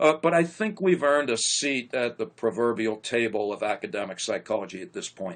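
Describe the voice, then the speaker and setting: The speech runs at a fairly quick pace with hardly any pauses and very wide pitch swings. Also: man, medium pitch for a man. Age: 60s. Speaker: psychologist. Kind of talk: interview conversation.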